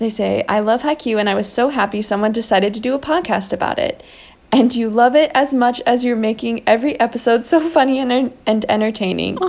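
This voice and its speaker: Speaking at a fairly quick pace, a woman with a plain, everyday voice has a fairly high pitch and ordinary pitch variation. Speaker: podcast co-host. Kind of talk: casual chat. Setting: recorded in the morning.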